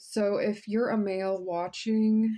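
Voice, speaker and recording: Against a quiet background, a woman speaks at medium pitch with a dark, mellow tone and fairly even intonation. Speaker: tarot reader. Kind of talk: tarot reading. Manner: casual, filler-heavy.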